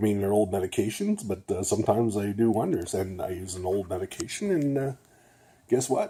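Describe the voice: A man's fairly low, dark, mellow voice with a slightly husky edge, at a fairly quick pace with lively intonation.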